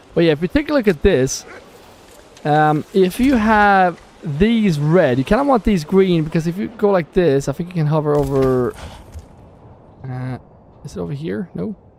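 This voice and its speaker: The speaker has a Swedish accent and keeps a moderate pace. Long pauses come often. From Sweden. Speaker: gaming streamer. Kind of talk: live gameplay stream. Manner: halting; animated.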